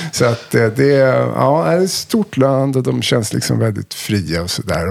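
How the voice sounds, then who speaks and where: Speaking at a moderate pace, a man talks with vocal fry. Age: 50s. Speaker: wine importer. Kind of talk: casual chat.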